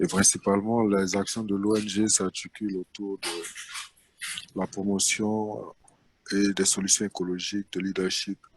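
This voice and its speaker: In a dry, close recording with no echo, a man with a fairly low voice speaks fairly slowly in a monotone, flat intonation. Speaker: NGO founder and president. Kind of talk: webinar panel talk.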